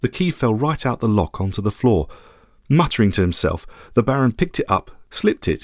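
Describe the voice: This is plain reading aloud. The text is read out simply.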